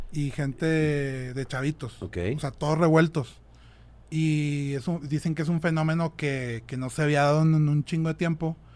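A man speaks in a normal speaking voice at a fairly high pitch and a moderate pace. His intonation is fairly even, in a very clean recording with a silent background. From Monterrey, Mexico. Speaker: rock drummer. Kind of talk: casual chat.

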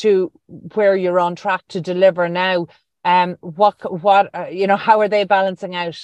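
Irish accent from a woman at medium pitch, fairly slow pace and fairly even intonation, in a dry, close sound with no echo. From rural Ireland. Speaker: radio host. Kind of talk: interview.

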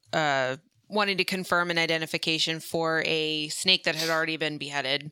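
A woman talks in a very deep, low pitch with a bright, sharp tone and flat, monotone intonation. The recording is very clean, with a silent background. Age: 30s. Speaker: reptile keeper and podcaster. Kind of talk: casual chat.

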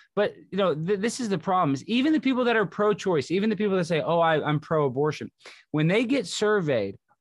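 Talking at a very fast pace, a man with a Texan accent is heard against a quiet background. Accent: Texan American. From Texas. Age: 30s. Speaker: comedian. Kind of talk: podcast interview.

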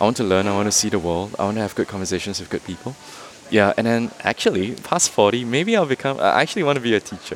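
Ordinary pitch variation marks this speech. It comes very fast, with noticeable noise in the background. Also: man, medium pitch for a man. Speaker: cafe owner entrepreneur. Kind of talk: casual interview. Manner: hesitant, fillers.

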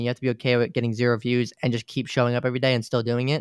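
A man with an American accent at a very fast pace, medium in pitch with monotone, flat intonation, in a dry, close recording with no echo and a quiet background. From New York. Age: 20s. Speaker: gaming content creator. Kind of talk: casual chat.

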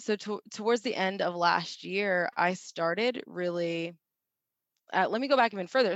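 An ordinary speaking voice moves at a moderate pace, with a dry, close sound and no echo. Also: woman, quiet background. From Ohio, Cincinnati. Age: 20s. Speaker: population health specialist. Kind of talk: casual interview.

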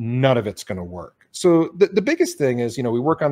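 In a very clean recording with a silent background and a dry, close sound with no echo, a man with an American accent speaks at medium pitch in a dark, mellow tone. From Detroit, US Midwest. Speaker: brand strategist. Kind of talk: casual interview.

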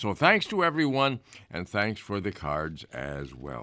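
Speaking fairly slowly with an American accent and vocal fry, a man lets his pitch swing very widely on a very clean recording with a silent background. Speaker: radio host. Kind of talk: casual chat. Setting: studio. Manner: halting.

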